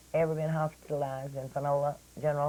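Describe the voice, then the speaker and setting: This woman talks at a moderate pace with an East Texas accent. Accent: East Texas Southern. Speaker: local historian. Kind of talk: radio interview. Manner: hesitant, many fillers.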